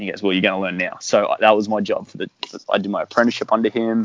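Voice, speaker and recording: A very fast-talking man with an Australian accent and a fairly low pitch. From Australia, Brisbane. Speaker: paintball player. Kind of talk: casual chat.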